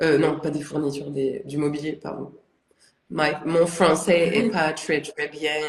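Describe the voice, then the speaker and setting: A woman with a very deep, low pitch talks fairly slowly, keeping her intonation fairly even. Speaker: ceramic artist. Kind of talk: casual interview chat. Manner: hesitant, many fillers.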